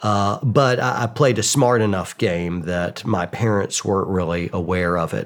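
A man with an American accent speaks in a normal speaking voice at a fairly slow pace. His pitch is fairly low, with ordinary pitch variation. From US South, Georgia (Atlanta suburbs). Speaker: war veteran and YouTuber. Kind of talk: interview conversation.

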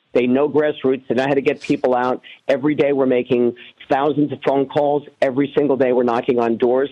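A man speaks with a New York accent in a dark, mellow tone. His intonation stays monotone and flat. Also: medium pitch for a man. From New York City (Queens). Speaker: congressional candidate. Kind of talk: radio interview.

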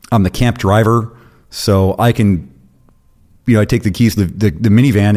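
A man speaks with an American accent in a dark, mellow tone at a fairly low pitch. The recording is very clean, with a silent background. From Florida. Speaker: former prisoner. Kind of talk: casual interview. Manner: energetic.

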